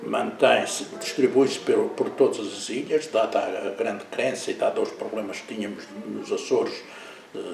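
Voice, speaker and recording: Music in the background and audible room echo behind a man at a moderate pace. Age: 70s. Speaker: businessman and local historian. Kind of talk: interview. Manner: hesitant, many fillers.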